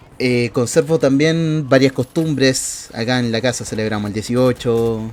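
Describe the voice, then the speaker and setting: Background noise is clearly present. Through it, a man talks. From southern Chile, Temuco. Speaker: content creator. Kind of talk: personal vlog monologue. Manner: casual, with frequent fillers.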